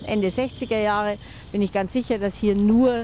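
A woman talks with ordinary pitch variation. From Munich (Freimann). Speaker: local historian. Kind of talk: interview.

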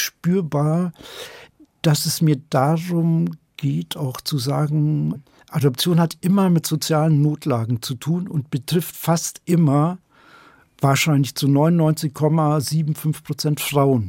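In a very clean recording with a silent background and a dry, close sound with no echo, a man speaks very slowly in a somewhat breathy voice with a dark, mellow tone. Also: fairly high pitch for a man. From Upper Bavaria, Germany (Schongau). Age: 60s. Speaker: novelist. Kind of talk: interview.

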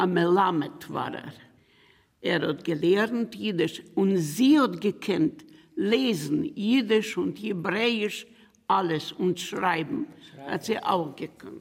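At a very slow pace, a woman speaks at a medium pitch with very wide pitch swings. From Bukovina region, Romania/Ukraine border. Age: 80s+. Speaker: Holocaust survivor, retired teacher. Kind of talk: interview testimony.

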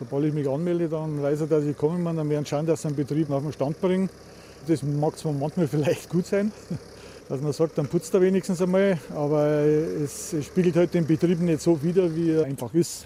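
A plain, everyday voice moves along at a fairly quick pace. The intonation stays fairly even. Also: man, fairly high pitch for a man. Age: 60s. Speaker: food safety inspector. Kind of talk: on-the-job interview.

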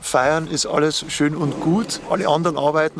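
The man has an unremarkable speaking voice, pitched fairly high, at a moderate pace. The sound is dry and close, with no echo. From Upper Palatinate, Bavaria. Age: 50s. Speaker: cemetery manager. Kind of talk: on-site interview.

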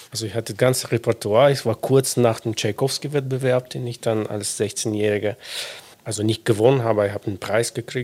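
The man's voice sits at a medium pitch. His intonation stays fairly even. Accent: Russian. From Russia. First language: Russian (speaking German). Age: 40s. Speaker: violinist, concertmaster. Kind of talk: casual interview.

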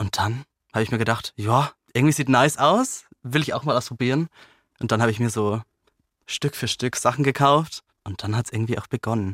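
A man's normal speaking voice at medium pitch, fairly quick pace and ordinary pitch variation, in a very clean recording with a silent background and a dry, close sound with no echo. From Lower Bavaria, village. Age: 20s. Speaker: news channel employee. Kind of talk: interview.

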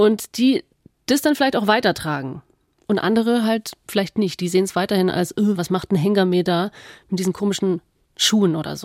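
With an animated tone and ordinary pitch variation, a woman of medium pitch talks at a fairly quick pace, recorded with a dry, close sound and no echo. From Allgäu, Bavaria. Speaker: radio host. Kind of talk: casual chat.

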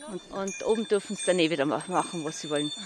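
Speaking in a Tyrolean accent, a woman races along at a very fast pace with very wide pitch swings. Noticeable background noise runs underneath. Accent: Tyrolean Austrian German. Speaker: alpine goat farmer. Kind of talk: casual explanation. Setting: outdoors on an alpine pasture.

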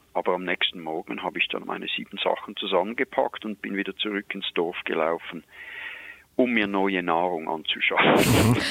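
In a very deep, low pitch, a man with a Swiss accent speaks at a moderate pace with ordinary pitch variation against noticeable background noise. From Switzerland. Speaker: wildlife expert. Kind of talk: storytelling.

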